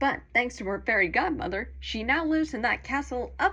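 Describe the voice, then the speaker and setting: A woman speaks against a quiet background. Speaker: fan doing a tour guide narration. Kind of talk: theme park boat tour guide narration.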